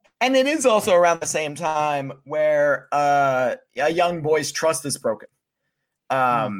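This man has an American accent and a fairly high pitch, using an ordinary speaking voice with lively intonation. He talks at a fairly slow pace on a very clean recording with a silent background. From Pennsylvania. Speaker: mental health advocate. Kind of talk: casual chat.

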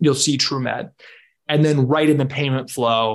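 A man with a normal speaking voice and an American accent, medium pitch, fairly even intonation, a moderate pace, and a quiet background. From Washington D.C., US. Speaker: health entrepreneur, former food and pharma consultant. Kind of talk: interview.

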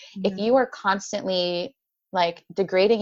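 Moderate pace and ordinary pitch variation in an unremarkable speaking voice. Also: woman. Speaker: life coach for women with chronic illness. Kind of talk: casual interview chat.

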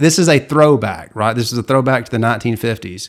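A man's medium-pitched, normal speaking voice with ordinary pitch variation, on a very clean recording with a silent background. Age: 40s. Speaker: Disney historian, author and attorney. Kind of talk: casual interview.

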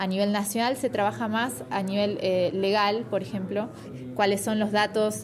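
Music plays in the background as a woman of medium pitch speaks at a moderate pace. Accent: Argentine. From Argentina, Buenos Aires. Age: 30s. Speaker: political scientist in government digital innovation. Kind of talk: interview.

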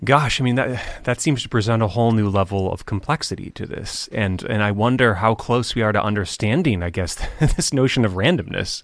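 On a very clean recording with a silent background, an unremarkable speaking voice moves at a fairly quick pace with hardly any pauses and ordinary pitch variation. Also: man, medium pitch for a man. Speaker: radio host. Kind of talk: radio interview.

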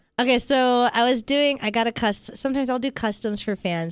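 In a very clean recording with a silent background, a woman talks with a fairly high pitch. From Las Vegas, US. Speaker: adult film performer. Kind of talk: casual chat.

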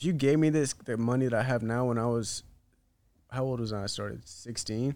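A man's medium-pitched, plain, everyday voice, fairly quick in pace, with ordinary pitch variation. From US South, North Carolina. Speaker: independent musician. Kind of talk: casual chat.

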